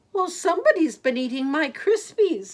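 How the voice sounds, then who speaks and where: This is a put-on character voice that sounds female, squeaky and extremely high in pitch. It moves at a moderate pace. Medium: read story.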